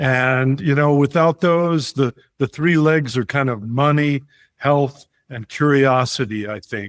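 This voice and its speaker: An unremarkable speaking voice at a fairly slow pace with ordinary pitch variation, in a dry, close sound with no echo. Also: man, fairly high pitch for a man. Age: 60s. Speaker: retired traveler. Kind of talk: podcast interview.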